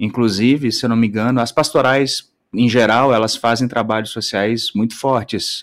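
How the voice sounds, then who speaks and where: With a normal speaking voice, a man talks at medium pitch and a moderate pace, using fairly even intonation and hardly any pauses. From Brazil, countryside. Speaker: podcast guest, video editor. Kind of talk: casual chat. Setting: live stream.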